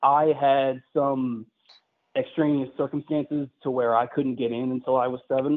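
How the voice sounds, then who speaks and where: A man at a medium pitch, speaking at a moderate pace in a monotone, flat intonation. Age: 20s. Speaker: sprint car driver. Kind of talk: interview.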